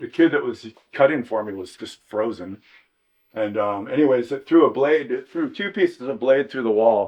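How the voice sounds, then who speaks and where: At a moderate pace, a man with an American accent and an unremarkable speaking voice talks at medium pitch with lively intonation. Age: 60s. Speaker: surfboard shaper. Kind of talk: casual interview during a shop tour. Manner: relaxed, many fillers.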